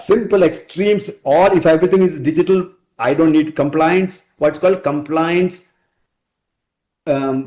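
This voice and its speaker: A man's high-pitched voice with a dark, mellow tone and a Keralan accent, at a moderate pace with fairly even intonation and long, frequent pauses. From India, Kerala. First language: Malayalam. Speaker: technology architect. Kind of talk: podcast interview. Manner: halting, with restarts.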